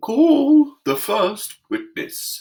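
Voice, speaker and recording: The pitch is high in this put-on character voice. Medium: read story. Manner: pompous, peremptory.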